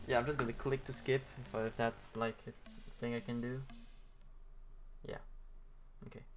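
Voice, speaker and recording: A man with a non-native accent talks at a moderate pace and medium pitch, in a monotone, flat intonation. He leaves long, frequent pauses. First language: not English. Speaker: gaming youtuber. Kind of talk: casual gameplay commentary. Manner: hesitant, many filler sounds; not very clear speech.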